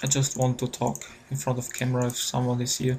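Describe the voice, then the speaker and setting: Noticeable background noise sits behind a soft-spoken man. His pitch is medium. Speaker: digital artist. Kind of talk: tutorial. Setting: at home. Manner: halting.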